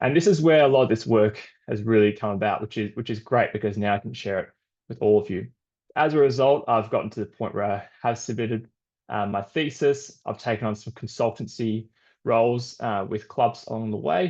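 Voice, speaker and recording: In an Australian accent, a man with a medium pitch speaks at a fairly quick pace with ordinary pitch variation against a quiet background. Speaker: sports scientist. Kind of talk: webinar presentation.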